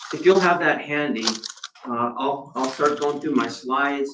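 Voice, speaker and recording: Here a man speaks in a fairly high voice. His pace is moderate. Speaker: city manager. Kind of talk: budget presentation at public meeting. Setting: commission meeting room. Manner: loud. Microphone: no microphone, far from recording mic.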